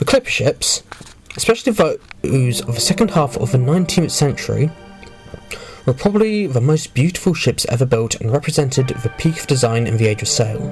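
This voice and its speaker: Over background music, a man with a fairly high pitch talks at a fairly quick pace with lively intonation. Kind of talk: history narration.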